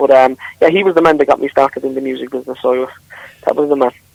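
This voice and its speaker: In a Limerick accent, a man talks very fast in a flat monotone at a fairly high pitch, the sound dry and close with no echo. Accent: Irish, Limerick. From Ireland, Newcastle West, County Limerick. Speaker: country singer. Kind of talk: radio interview.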